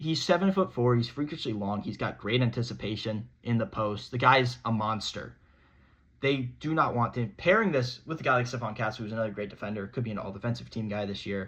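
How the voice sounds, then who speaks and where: At a fairly quick pace, a man talks at a medium pitch with ordinary pitch variation. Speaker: sports podcast host. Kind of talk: solo sports commentary monologue. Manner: fast; animated.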